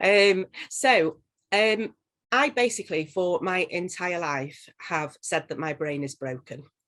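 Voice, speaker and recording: A woman speaks in a Yorkshire accent. The background is quiet. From northern England, Leeds. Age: 40s. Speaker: social worker and coach. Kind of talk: interview testimony.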